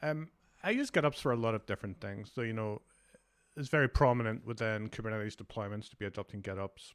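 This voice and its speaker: A man with a Glasgow accent at a very fast pace, medium in pitch with ordinary variation, dry and close with no echo, very clean recording against a silent background. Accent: Scottish (Glasgow). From Scotland, Glasgow. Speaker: developer advocate. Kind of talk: conference talk.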